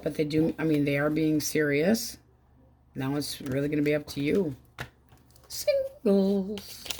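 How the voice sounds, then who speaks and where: A woman's very deep, low-pitched voice with a dark, mellow tone, ordinary pitch variation, a fairly slow pace and long, frequent pauses. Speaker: tarot reader. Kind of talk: tarot reading. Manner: casual, conversational.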